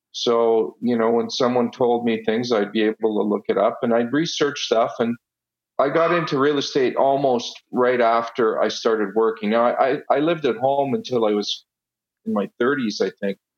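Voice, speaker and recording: A man talks at a moderate pace and medium pitch. His pitch varies in an ordinary way while his loudness stays very even. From Italy, then Ottawa Canada. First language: Italian. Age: 50s. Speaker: real estate investor and businessman. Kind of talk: casual interview conversation.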